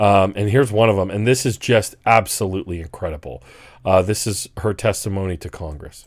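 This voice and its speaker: At a fairly quick pace, a man talks in a normal speaking voice with ordinary pitch variation, on a very clean recording with a silent background. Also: fairly low pitch for a man. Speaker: political commentator. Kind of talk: casual commentary to camera.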